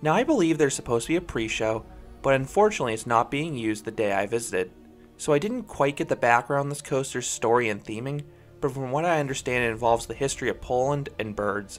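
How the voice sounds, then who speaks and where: Over music in the background, a man talks at a very fast pace with lively intonation. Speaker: coaster reviewer. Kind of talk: review narration.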